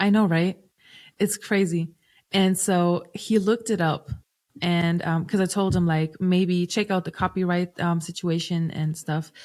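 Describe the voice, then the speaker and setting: A woman with a German accent speaks at a fairly slow pace and fairly low pitch, with fairly even intonation. Her loudness stays very even, and the recording is very clean with a silent background. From Germany. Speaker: singer-songwriter and producer. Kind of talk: podcast interview. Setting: podcast recording.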